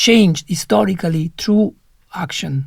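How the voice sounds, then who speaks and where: The speaker, with an Italian accent, talks at a moderate pace. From Italy. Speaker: panelist. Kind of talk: panel discussion. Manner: halting, many fillers.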